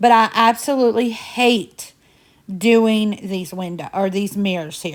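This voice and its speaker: On a very clean recording with a silent background, a woman of medium pitch shows ordinary pitch variation and big swings in loudness. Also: fairly slow pace. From Indiana. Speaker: home cleaning vlogger. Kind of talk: casual chatty vlog narration. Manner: chatty.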